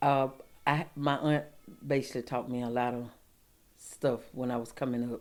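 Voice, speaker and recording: A woman with an Alabama accent, very deep and low in pitch, monotone and flat, with long, frequent pauses. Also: moderate pace, very clean recording, silent background. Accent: US South, Alabama. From Alabama, Lee County. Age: 60s. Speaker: interviewee in oral history project. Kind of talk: oral history interview. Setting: at her home. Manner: halting, repeats words.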